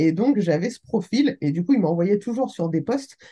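A woman speaks in a somewhat breathy, dark, mellow voice with very wide pitch swings. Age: 30s. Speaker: real estate investor and business angel. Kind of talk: casual interview. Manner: animated.

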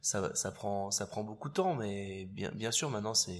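Here a man talks at a moderate pace with a fairly low pitch and ordinary pitch variation. The recording is very clean, with a silent background. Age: 40s. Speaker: fashion photographer. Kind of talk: interview. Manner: hesitant, repeats words.

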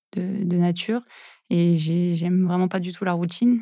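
A woman's fairly low, dark, mellow voice in a monotone, flat intonation, in a very clean recording with a silent background. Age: 30s. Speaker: physiotherapist. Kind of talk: interview. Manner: hesitant, filler words.

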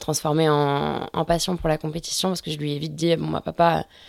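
Over a very clean recording with a silent background, a woman speaks very fast in a very deep, low pitch with monotone, flat intonation. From France, Brittany (Finistère Nord). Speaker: offshore sailor. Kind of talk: interview. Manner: hesitant, many repetitions.

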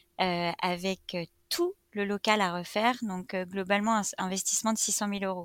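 Speaking at a fairly slow pace with hardly any pauses, a woman at medium pitch keeps a monotone, flat intonation in a dry, close recording with no echo, very clean and against a silent background. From France, Reims. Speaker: entrepreneur. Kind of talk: interview, casual chat.

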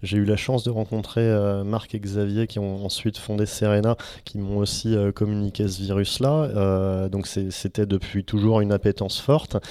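A man's fairly low voice with a dark, mellow tone, monotone, flat intonation and a fairly slow pace. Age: 30s. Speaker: venture capital investor. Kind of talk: interview. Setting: office. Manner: hesitant, frequent fillers.

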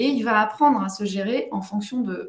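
This woman's voice sits at a medium pitch, somewhat breathy, with ordinary pitch variation and a moderate pace. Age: 40s. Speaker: parenting coach. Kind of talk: interview.

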